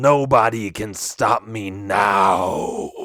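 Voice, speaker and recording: A man does a raspy, put-on character voice at a medium pitch. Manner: menacing, boastful.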